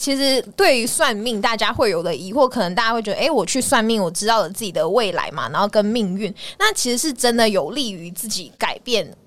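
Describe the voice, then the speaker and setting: A woman with a fairly high pitch talks at a fairly quick pace, with hardly any pauses. Her intonation is lively, and noticeable background noise sits behind her. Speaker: podcast host. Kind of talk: casual chat.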